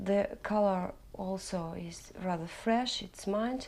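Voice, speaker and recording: A woman speaks in a Russian accent. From Russia, Urals. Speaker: knitting vlogger. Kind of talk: casual tutorial-style podcast. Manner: halting; partly read from prepared notes.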